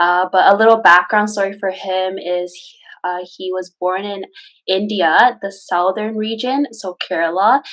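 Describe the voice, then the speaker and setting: The speaker moves at a fairly slow pace with fairly even intonation. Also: woman, medium pitch for a woman. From Canada, Brampton, Ontario. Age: 20s. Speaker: guest on relationship show. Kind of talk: casual interview chat. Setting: call. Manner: hesitant, many fillers.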